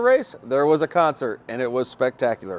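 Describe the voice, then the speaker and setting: A man's voice with very wide pitch swings. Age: 60s. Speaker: podcast host. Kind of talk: casual chat. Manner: animated.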